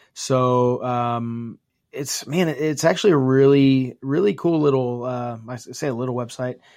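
Delivered at a fairly slow pace, this is an unremarkable speaking voice with an American accent. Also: man, medium pitch for a man, ordinary pitch variation. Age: 40s. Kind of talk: casual interview chat.

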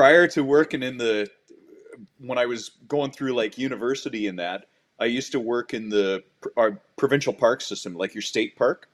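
A man with a Canadian accent and a plain, everyday voice, medium pitch, ordinary pitch variation and moderate pace. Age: 50s. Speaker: paramedic and lake lifeguard. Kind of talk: casual interview chat.

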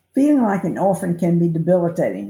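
Somewhat breathy and dark, mellow in tone, the voice carries lively intonation with an American accent. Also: woman. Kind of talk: reading aloud.

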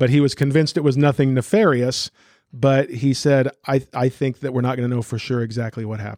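A man with an American accent and a plain, everyday voice speaks at a fairly quick pace with medium pitch and fairly even intonation, recorded very cleanly against a silent background with a dry, close sound and no echo. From Newton, US. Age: 50s. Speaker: pastor. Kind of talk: interview. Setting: church office.

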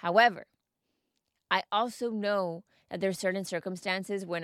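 A woman with a Spanish accent speaks at a moderate pace in an animated, upbeat tone. The sound is dry and close, with no echo. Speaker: mindset coach and podcast host. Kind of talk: scripted-style solo monologue podcast.

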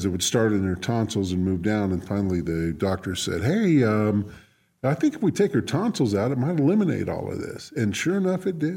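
Relaxed and dark, mellow in tone, a man of medium pitch speaks at a fairly quick pace on a very clean recording with a silent background. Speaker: community radio co-host. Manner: relaxed, conversational, rambling storyteller.

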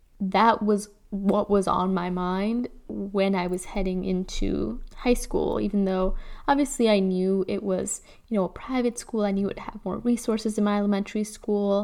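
At a moderate pace, a woman with a Chicago accent talks at a medium pitch with fairly even intonation. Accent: Chicago American English. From Chicago, US Midwest. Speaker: podcast host. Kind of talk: personal storytelling. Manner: casual, laughs often.

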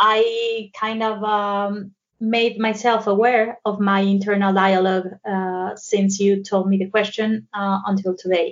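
A woman with a Mexican accent speaks at a medium pitch with hardly any pauses. Her pace is fairly slow and her intonation monotone and flat. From Mexico. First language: Spanish. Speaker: psychotherapist. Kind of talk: interview conversation.

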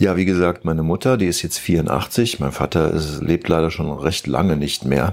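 This man's very deep, low voice moves at a moderate pace with hardly any pauses and ordinary pitch variation. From Germany, Eifel region (near Neuerburg). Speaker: rock musician. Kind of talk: interview.

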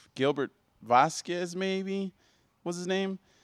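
On a very clean recording with a silent background, a man with an American accent is heard in a dry, close sound with no echo. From Odessa, Texas. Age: 20s. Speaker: professional boxer. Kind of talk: casual chat.

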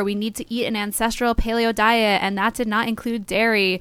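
This woman has an American accent and a fairly high pitch. The recording is very clean, with a silent background. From New Jersey. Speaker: podcast co-host. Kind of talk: casual chat.

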